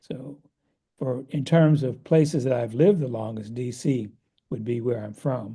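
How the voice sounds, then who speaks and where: A man's medium-pitched voice with a dark, mellow tone, somewhat breathy, with an American accent, ordinary pitch variation and a moderate pace. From US Northeast, Philadelphia. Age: 70s. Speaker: economist and meditation teacher. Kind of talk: interview conversation.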